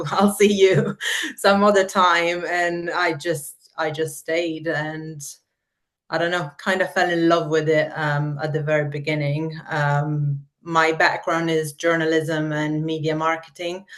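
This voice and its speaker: With an Italian accent, the speaker talks at a fairly slow pace in a monotone, flat intonation. The background is quiet. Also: woman, very deep, low pitch for a woman. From Italy. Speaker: marketer. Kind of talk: podcast interview.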